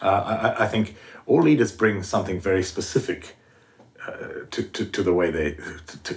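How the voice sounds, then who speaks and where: Fairly quick, somewhat breathy speech carries ordinary pitch variation. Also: man. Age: 60s. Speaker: podcast co-host. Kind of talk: interview.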